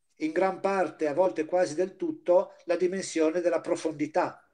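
A man speaks with a dark, mellow tone at a high pitch. The background is quiet. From Liguria, Chiavari area; Liguria, Italy. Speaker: volunteer teacher giving an art history lecture. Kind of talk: lecture. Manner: halting, with frequent fillers. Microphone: video call.

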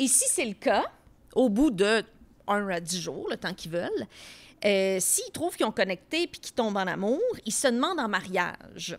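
At a moderate pace, a woman with a fairly high pitch speaks with very wide pitch swings, big swings in loudness and long, frequent pauses. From Quebec, Tracy; Quebec. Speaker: comedian podcast co-host, pop culture columnist; comedian podcast co-host. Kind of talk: casual chat. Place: studio. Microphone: studio mic.

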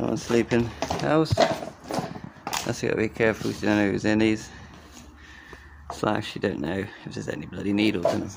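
A man speaks at a moderate pace with long, frequent pauses and ordinary pitch variation over noticeable background noise. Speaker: urban explorer vlogger. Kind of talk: casual vlog commentary. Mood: curious, a bit wary. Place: street. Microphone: phone near.

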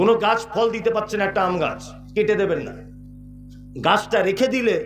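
A man with a high pitch speaks with fairly even intonation. Clear music plays in the background, and room echo is audible. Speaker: Islamic preacher giving a waz lecture. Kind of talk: public religious sermon with humorous storytelling. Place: stage. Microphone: pa.

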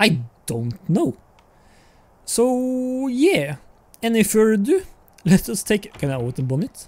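Long pauses come often, though the talking itself keeps a moderate speed. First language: not English. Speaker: gaming YouTuber. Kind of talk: gameplay commentary. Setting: recorded voiceover while playing. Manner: halting, casual.

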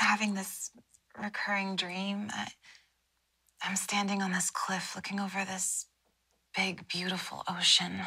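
A woman uses a raspy, put-on character voice at a medium pitch. Her delivery is monotone and flat, at a fairly slow pace with long, frequent pauses. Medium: audio drama. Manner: soft, dreamy.

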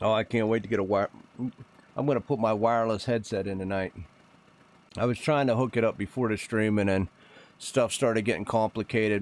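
A man with an American accent speaks in a fairly low voice. His intonation is fairly even. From Pennsylvania, US. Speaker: gaming streamer. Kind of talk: casual live-stream chat. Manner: halting, repeats words.

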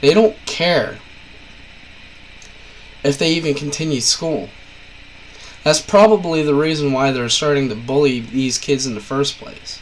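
Over noticeable background noise, a man with a fairly high pitch talks at a fairly slow pace with long, frequent pauses. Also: ordinary pitch variation. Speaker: parent. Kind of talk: casual talk to camera. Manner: blunt.

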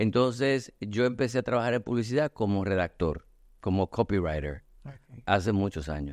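A man with a fairly low voice is heard over a quiet background, the sound dry with no echo. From Puerto Rico. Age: 50s. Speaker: artist and communications agency owner; podcast guest. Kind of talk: casual chat. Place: studio. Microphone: studio mic.

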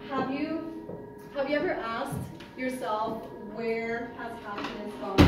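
Amid loud background noise and audible room echo, a woman talks at a fairly slow pace. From Montreal, Canada. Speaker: interior designer. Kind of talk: launch event speech to a live audience. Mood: warm, heartfelt. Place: hall. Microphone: camera far.

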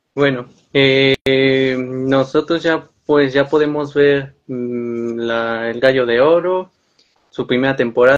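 A man's fairly even intonation against a quiet background. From Mexico, San Luis Potosí. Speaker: interviewer. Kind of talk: interview. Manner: halting. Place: home room. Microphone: video call.

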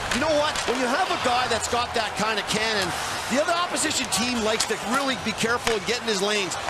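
Over noticeable background noise, a man talks very fast at an extremely high pitch, with ordinary pitch variation and very even loudness. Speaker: colour commentator. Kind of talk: sports colour commentary. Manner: analytical, explaining plays in a conversational tone.

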